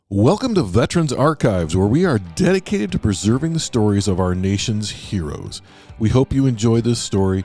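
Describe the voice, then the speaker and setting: Over music in the background, a man speaks at very even loudness while his pitch swings very widely. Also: medium pitch for a man, fairly quick pace. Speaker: interviewer and channel host. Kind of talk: interview questions.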